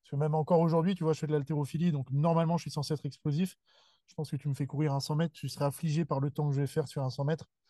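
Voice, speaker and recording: A man talks at a very fast pace in a fairly high pitch, his intonation monotone and flat, his tone dark and mellow and somewhat breathy. The sound is dry and close with no echo over a quiet background, and his loudness swings widely. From Paris region, Seine-et-Marne. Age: 20s. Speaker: weightlifting coach and gym founder. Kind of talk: casual interview chat.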